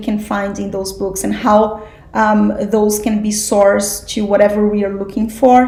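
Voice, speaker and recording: Audible room echo surrounds the speech of a woman. There is also noticeable background noise. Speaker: spiritual study group teacher. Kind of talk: class lecture.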